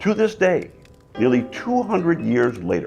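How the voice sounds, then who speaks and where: A man is speaking. Music plays behind him. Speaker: mayor. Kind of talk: event host introduction.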